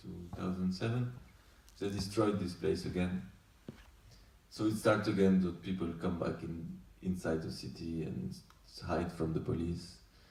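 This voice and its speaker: A man with a French accent, somewhat breathy and very deep and low in pitch, with ordinary pitch variation, at a moderate pace with long, frequent pauses and audible room echo. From France. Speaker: documentary director. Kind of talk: post-screening Q&A. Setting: festival screening with audience. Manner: halting.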